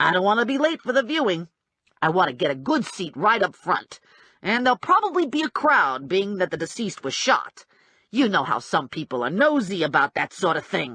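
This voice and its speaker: A put-on, growling character voice at a middle pitch, with very wide pitch swings and a fairly quick pace. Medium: read story. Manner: chatty, blunt.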